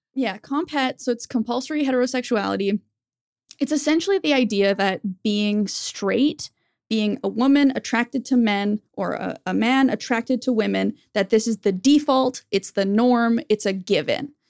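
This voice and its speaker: A woman has a plain, everyday voice with ordinary pitch variation. The sound is dry and close with no echo, on a very clean recording with a silent background. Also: fairly high pitch for a woman, moderate pace. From Canada. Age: 30s. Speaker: YouTuber. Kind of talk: casual chat.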